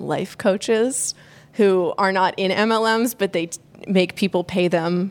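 An ordinary speaking voice from a woman, medium in pitch, with fairly even intonation. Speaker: podcast finalist. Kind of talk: stage Q&A. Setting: stage with audience.

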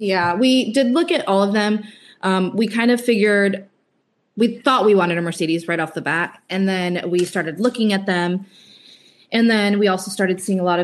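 An unremarkable speaking voice from a woman at medium pitch, moderate pace, and ordinary pitch variation. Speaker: van life couple member, guest. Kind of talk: casual interview chat.

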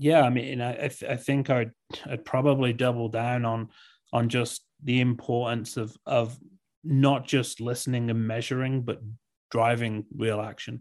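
Over a quiet background, a man speaks with a medium pitch at a moderate pace. His intonation is monotone and flat. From England. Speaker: tech company CEO. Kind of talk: interview. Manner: halting, many repeated words.

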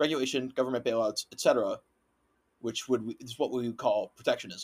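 Here is a man with an American accent and a plain, everyday voice, his pitch medium. He speaks at a moderate pace with fairly even intonation, in a dry, close sound with no echo. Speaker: podcast host. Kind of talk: casual chat.

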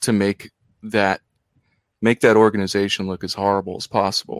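In an American accent, a man with an unremarkable speaking voice talks at a moderate pace and a fairly low pitch, the sound dry and close with no echo, a very clean recording with a silent background. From US Northeast, outside Philadelphia / Delaware. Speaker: poet. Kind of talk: casual interview.

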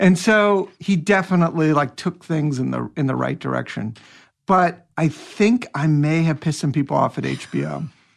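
A man speaks in a normal speaking voice, fairly high in pitch with ordinary pitch variation, at a moderate pace against a quiet background. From US Pacific Northwest (Seattle area). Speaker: actor. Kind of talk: casual chat.

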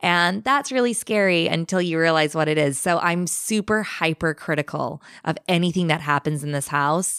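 The recording is very clean, with a silent background. A woman with a Californian accent talks at a fairly low pitch with ordinary pitch variation. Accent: Californian American. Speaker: podcaster sharing paranormal stories. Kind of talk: storytelling in casual chat.

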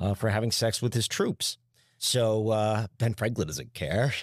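A man with an American accent and an ordinary speaking voice talks at a moderate pace with fairly low pitch, captured in a dry, close sound with no echo on a very clean recording with a silent background. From New Jersey. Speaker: history professor. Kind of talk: casual interview.

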